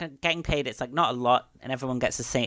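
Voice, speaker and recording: Recorded very cleanly against a silent background, with a dry, close sound and no echo, a man speaks at medium pitch with ordinary pitch variation. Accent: strong British. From Britain. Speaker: scientist and pro wrestler. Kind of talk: casual interview chat.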